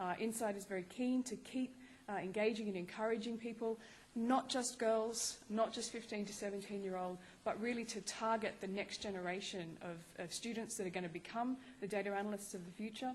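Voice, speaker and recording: A somewhat breathy woman's voice, fairly high-pitched, at a fairly quick pace with fairly even intonation. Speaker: research fellow. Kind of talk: conference talk.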